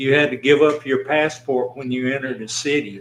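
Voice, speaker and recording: Monotone, flat intonation at a moderate pace, with a Tennessee accent. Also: man. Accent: Southern US, Tennessee. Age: 80s+. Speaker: county commissioner. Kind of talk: casual chat.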